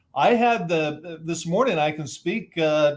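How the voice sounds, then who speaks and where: Speaking with an American accent, a man uses a plain, everyday voice at a moderate pace with ordinary pitch variation. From Southern California. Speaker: author and disaster expert. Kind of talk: interview. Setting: video call from a hotel room.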